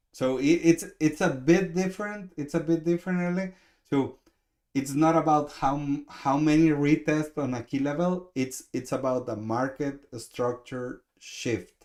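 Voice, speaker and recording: A man with a Mexican accent speaks at a fairly slow pace. His pitch is fairly high, with ordinary variation. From Mexico. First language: Spanish. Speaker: trading coach. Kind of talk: live trade review stream. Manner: halting, many repetitions.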